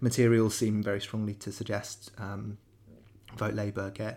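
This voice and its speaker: A man with a southern English accent speaks at a moderate pace with fairly low pitch. His voice is somewhat breathy, on a very clean recording with a silent background. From southern England (Wokingham). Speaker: podcast host. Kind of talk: political discussion podcast. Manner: hesitant, many fillers.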